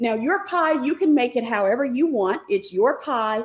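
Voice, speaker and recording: A woman speaks in a high pitch with an animated tone and lively intonation. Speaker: stock market teacher. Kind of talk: live online class. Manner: fast.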